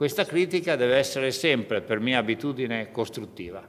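A man's voice with very wide pitch swings. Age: 50s. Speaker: trade union leader; speaker. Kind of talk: conference speech. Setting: parliament conference room. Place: hall. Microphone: podium.

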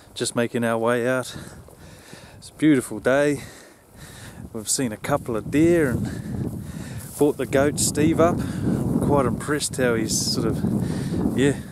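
Very slow delivery with long, frequent pauses, ordinary pitch variation, a dry sound with no echo, and loud background noise. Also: man. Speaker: hunting vlogger. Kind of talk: casual vlog chat. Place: open country. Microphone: phone near.

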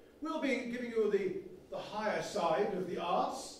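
Over light background noise and audible room echo, a man speaks at a fairly slow pace with very wide pitch swings. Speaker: comic and one-man play performer. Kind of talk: comic historical one-man play, stand-up style. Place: stage. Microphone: camera far.

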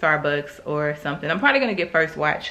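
A woman speaks at a fairly quick pace in a bright, sharp tone. The room adds audible echo.

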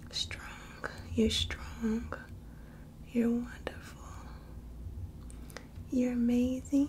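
Speaking softly at a very slow pace with long, frequent pauses, a woman is heard over light background noise. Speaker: ASMR creator. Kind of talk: ASMR affirmations. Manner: soft-spoken. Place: home room. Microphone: phone near.

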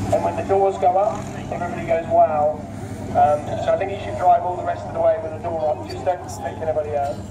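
A man rattles along at a very fast pace, with noticeable noise behind him. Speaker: event announcer. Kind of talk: commentary. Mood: jokey, upbeat. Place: open country.

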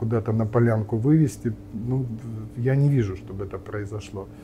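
Light background noise sits behind the recording. The man speaks with fairly even intonation. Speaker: nuclear physicist and politician; politician. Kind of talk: interview. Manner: halting, many fillers. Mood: calm, thoughtful, pessimistic. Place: cafe.

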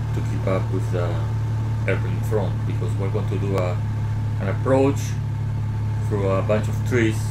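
Loud background noise is present. Over it, a man talks. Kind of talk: commentary.

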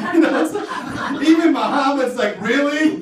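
Light background noise and audible room echo accompany a man with an American accent talking at a fairly slow pace with ordinary pitch variation. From US Midwest, Wisconsin. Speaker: stand-up comedian. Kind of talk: stand-up. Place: stage.

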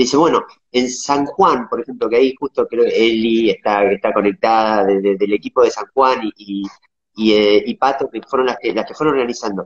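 The setting is quiet. A man talks at an even, moderate speed. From Argentina, Patagonia (Viedma); Patagonia, Argentina. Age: 40s. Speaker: interviewee. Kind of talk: interview. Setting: video call. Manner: halting.

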